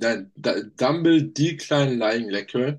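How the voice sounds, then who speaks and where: A man, with a quiet background. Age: young. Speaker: fitness podcast co-host, trainee electronics technician. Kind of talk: casual chat. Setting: video call.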